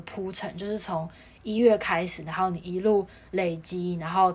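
A woman speaks at a moderate pace in a medium pitch. It is a normal speaking voice. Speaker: college tennis player. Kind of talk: casual chat.

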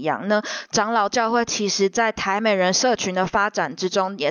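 Here is an unremarkable speaking voice from a woman. She has a medium pitch and a moderate pace. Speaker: think tank program officer. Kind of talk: interview discussion. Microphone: microphone made a boiling-water noise, kept quieter.

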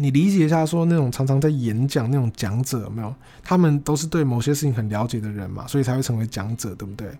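Speech races along at a very fast pace with hardly any pauses. The tone is dark and mellow, somewhat breathy, with ordinary pitch variation. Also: man, medium pitch for a man. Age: 20s. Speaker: podcaster. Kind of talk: casual solo monologue.

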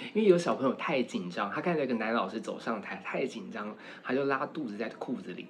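Speaking at a fairly quick pace in a Taiwanese accent, a man sounds animated, his pitch swinging very widely. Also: medium pitch for a man. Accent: Taiwanese Mandarin. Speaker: university lecturer and fashion stylist. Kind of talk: casual chat.

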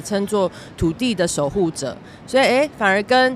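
The speech has lively intonation and a moderate pace. Noticeable background noise is present. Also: woman. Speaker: documentary director. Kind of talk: casual interview. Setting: outdoors in Times Square. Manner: halting.

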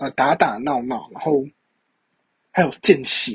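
The man's voice is somewhat breathy. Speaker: podcast host. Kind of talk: personal monologue. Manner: slow.

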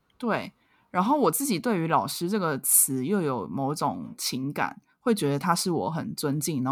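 With a Taiwanese accent, a woman speaks at a moderate pace. The recording is very clean, with a silent background. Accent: Taiwanese Mandarin. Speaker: podcast co-host. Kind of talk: casual chat.

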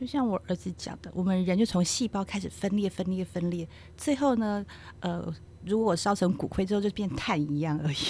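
At a fairly quick pace, the voice sounds somewhat breathy, with a dark, mellow tone. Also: woman, medium pitch for a woman, ordinary pitch variation. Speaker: geriatric nurse. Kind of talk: casual chat.

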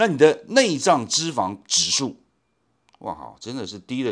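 A man's medium-pitched voice with vocal fry, very wide pitch swings and a fairly slow pace, in a very clean recording over a silent background. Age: 60s. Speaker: podcast host who asks the questions. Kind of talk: casual chat.

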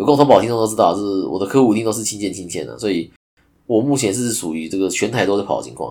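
Talking at a very fast pace, a man with a dark, mellow tone and vocal fry uses lively intonation at a fairly low pitch, his loudness swinging widely. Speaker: podcast host, insurance agent. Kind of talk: solo podcast monologue. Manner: casual, filler-heavy. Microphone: new microphone.

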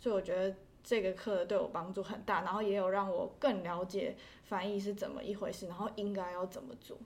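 A woman at medium pitch speaks in a plain, everyday voice. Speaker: interpreting graduate student. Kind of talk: casual interview.

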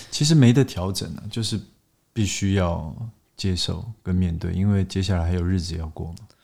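Very deep and low, a man's voice has a dark, mellow tone, ordinary pitch variation and a fairly quick pace. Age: 30s. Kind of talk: casual chat.

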